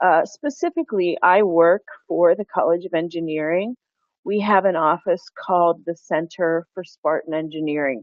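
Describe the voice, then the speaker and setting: With a Pennsylvania accent, a woman talks at a moderate pace, her fairly low pitch showing ordinary variation. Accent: American, Pennsylvania. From Pennsylvania, US. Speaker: university engagement director. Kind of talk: webinar presentation.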